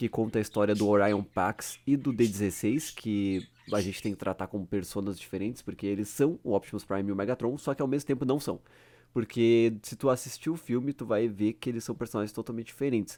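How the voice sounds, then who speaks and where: A man speaks at a fairly quick pace in a medium pitch with a dark, mellow tone and ordinary pitch variation. The recording is very clean, with a silent background. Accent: strong gaúcho. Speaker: YouTuber. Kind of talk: casual unscripted commentary. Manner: animated.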